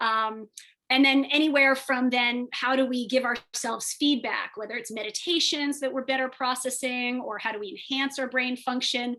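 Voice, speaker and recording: The voice is raised and projected, with fairly even intonation. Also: woman, high pitch for a woman. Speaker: biomedical engineer and tech entrepreneur. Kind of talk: webinar presentation. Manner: fast; halting, many fillers.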